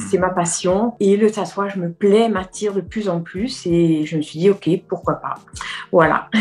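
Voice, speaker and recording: At a fairly slow pace, a woman speaks with medium pitch and fairly even intonation. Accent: slight Corsican. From Corsica. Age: 40s. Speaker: nail technician, tattoo trainee. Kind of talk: interview. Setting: video call. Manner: hesitant, many fillers.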